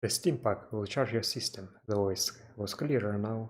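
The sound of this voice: Pitch moves with ordinary variation. The text is read in an unforced reading voice.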